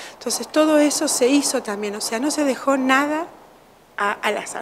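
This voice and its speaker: A woman at a moderate pace with ordinary pitch variation amid noticeable background noise. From Uruguay. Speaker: children's home director. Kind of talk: interview. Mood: warm, grateful. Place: office. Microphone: studio mic.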